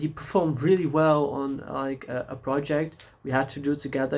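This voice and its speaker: At a moderate pace, a man with a non-native accent speaks in a medium pitch with fairly even intonation. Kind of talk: casual talk to camera. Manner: rambling, hesitant.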